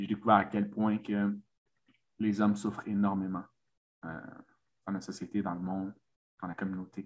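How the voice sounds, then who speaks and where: A man speaks at a moderate pace in a fairly low pitch. His intonation is flat and monotone, with long, frequent pauses. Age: 30s. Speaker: men's coach. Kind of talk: interview conversation. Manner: halting, many repetitions.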